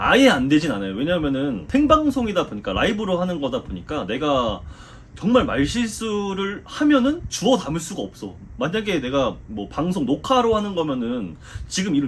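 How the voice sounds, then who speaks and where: High male pitch with very wide swings up and down. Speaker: football commentator. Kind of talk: casual Q&A talk.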